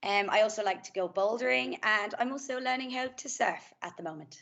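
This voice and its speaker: A woman with an Irish accent, fairly high in pitch, at a moderate pace, with very wide pitch swings, big swings in loudness, and long, frequent pauses. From Ireland, Kildare. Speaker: master's student. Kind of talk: self-introduction on panel.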